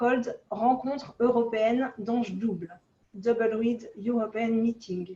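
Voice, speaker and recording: A woman's fairly high voice in a French accent, with ordinary pitch variation. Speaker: oboe association president. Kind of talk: reading aloud. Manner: halting.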